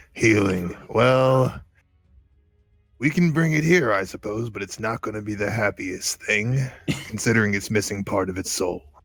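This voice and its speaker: A man does a put-on character voice that is raspy and medium in pitch, speaking at a moderate pace. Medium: actual play. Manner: gruff, curt.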